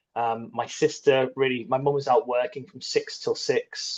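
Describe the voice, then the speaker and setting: Speaking at a moderate pace, a man talks in an English accent. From northern England, Middlesbrough. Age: 40s. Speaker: army veteran and entrepreneur. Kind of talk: podcast interview. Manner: hesitant, filler-heavy.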